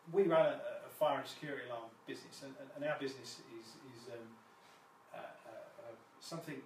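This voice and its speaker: Speaking with a British accent, a man with a fairly high pitch and ordinary pitch variation talks at a fairly quick pace, taking long, frequent pauses. His loudness swings widely, and room echo is audible. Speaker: fire and security business owner. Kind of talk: live presentation. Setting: Facebook live stream. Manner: fast; halting, many fillers and repetitions.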